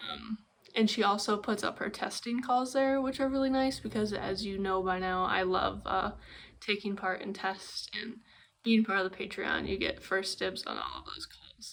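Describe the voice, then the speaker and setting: A woman speaks at a medium pitch and a moderate pace, with ordinary pitch variation. She has a normal speaking voice. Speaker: knitting podcaster. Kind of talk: casual vlog chat.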